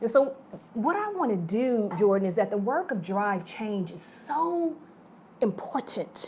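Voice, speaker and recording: Heard over noticeable background noise, a woman with an American accent and a fairly high pitch speaks at a fairly slow pace in an animated tone, with very wide pitch swings and big swings in loudness. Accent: occasional Southern. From Detroit, Southern family roots. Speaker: nonprofit executive director, moderator. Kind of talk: onstage moderated conversation. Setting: stage with audience.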